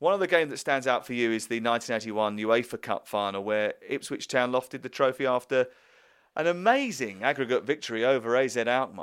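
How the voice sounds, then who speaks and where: Very clean and silent in the background, this recording has a man speaking with a British accent. He talks fairly quickly at medium pitch with ordinary pitch variation. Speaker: radio sports presenter. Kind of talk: interview questioning. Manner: warm, enthusiastic.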